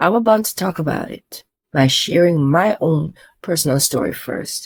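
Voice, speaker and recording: This woman's voice comes out somewhat breathy. She keeps to a fairly slow pace. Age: 60s. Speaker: travel vlogger. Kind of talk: direct-to-camera vlog with product pitch. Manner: animated.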